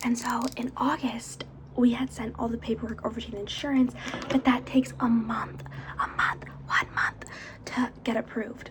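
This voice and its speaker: Whispering and soft-spoken, a woman talks at a moderate pace. Noticeable background noise sits behind her. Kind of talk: ASMR makeup haul, casual talk to camera. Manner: soft-spoken, whispered.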